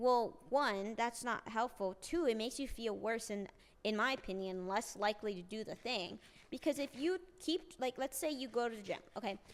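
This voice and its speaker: With a plain, everyday voice, a woman speaks at a fairly high pitch using lively intonation. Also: moderate pace. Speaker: streamer. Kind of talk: casual chat.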